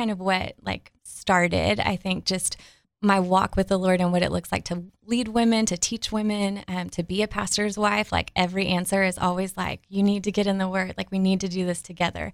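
On a very clean recording with a silent background, a woman with a Southern Texas accent talks at medium pitch with monotone, flat intonation. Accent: Southern Texan drawl. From Texas, Dallas area. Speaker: pastor's wife and ministry speaker. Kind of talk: interview testimony.

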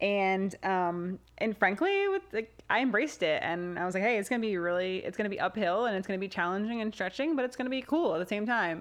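With an American accent, a woman talks very fast at medium pitch with ordinary pitch variation and hardly any pauses. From New Jersey, US. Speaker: ER nurse and podcast host. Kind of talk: casual chat.

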